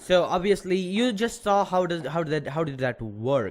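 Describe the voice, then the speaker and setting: Man's lively intonation, moderate pace. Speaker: programming tutorial youtuber. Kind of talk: tutorial. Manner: loud; hesitant, many fillers.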